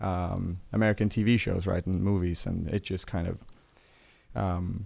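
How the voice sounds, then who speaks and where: A man speaks with a Swedish accent. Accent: Swedish, sometimes taken for Irish. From Sweden. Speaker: pop culture streamer. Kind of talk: livestream chat. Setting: livestream. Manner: halting, many fillers. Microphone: good microphone.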